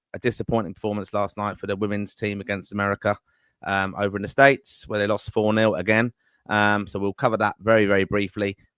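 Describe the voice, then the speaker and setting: With an English accent, a man speaks at a very fast pace, fairly low-pitched and monotone with flat intonation, on a very clean recording with a silent background and a dry, close sound with no echo. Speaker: football podcast host. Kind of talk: live podcast chat.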